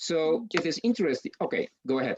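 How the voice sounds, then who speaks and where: The speaker has a Polish accent. The pace is moderate. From Poland. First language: Polish (speaking Ukrainian). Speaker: university lecturer. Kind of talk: lecture. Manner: halting, many fillers.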